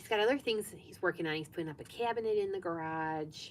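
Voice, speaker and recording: Her intonation is lively as this woman rushes along at a very fast pace. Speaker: sewing vlogger. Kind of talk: live stream sewing chat. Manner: soft-spoken; casual, chatty.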